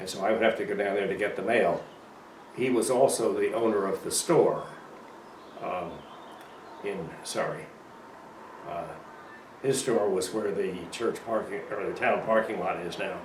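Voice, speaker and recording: A man speaks at a moderate pace with long, frequent pauses amid noticeable background noise and audible room echo. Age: 90s. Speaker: local elder interviewee. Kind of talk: oral history interview. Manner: halting.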